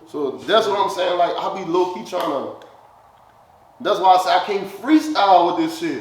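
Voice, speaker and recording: A man with a high pitch and lively intonation talks at a moderate pace, amid noticeable background noise and audible room echo. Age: 20s. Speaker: rapper. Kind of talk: casual chat. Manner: animated.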